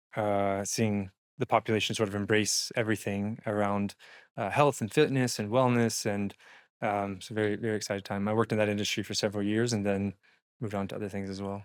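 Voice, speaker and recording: A man speaks in a Texan accent. His voice is fairly low and his pace fairly quick. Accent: Texan American English. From Texas. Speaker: entrepreneur and investment strategist. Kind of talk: podcast interview.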